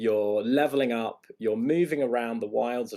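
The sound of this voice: The clip is read in an unforced reading voice.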